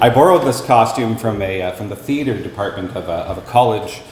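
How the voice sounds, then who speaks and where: Noticeable background noise under fairly quick talk with ordinary pitch variation. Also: man. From Canada. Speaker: actor. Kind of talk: casual talk to live audience. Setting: live venue.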